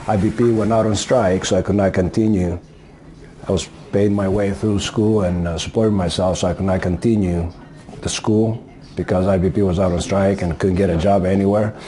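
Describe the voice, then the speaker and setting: Over noticeable background noise, a man with a Greek accent speaks in a fairly low, monotone, flat voice. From Greece. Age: 60s. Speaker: auto body worker. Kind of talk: interview. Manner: hesitant, with frequent fillers.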